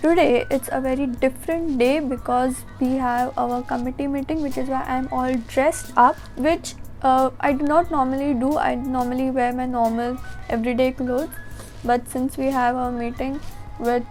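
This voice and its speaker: Over music in the background, a woman talks at a moderate pace in a high pitch with fairly even intonation. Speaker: college student. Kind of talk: casual vlog talk to camera.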